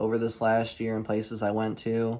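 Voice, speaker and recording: A man's medium-pitched voice, monotone and flat, at a moderate pace. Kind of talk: casual channel intro.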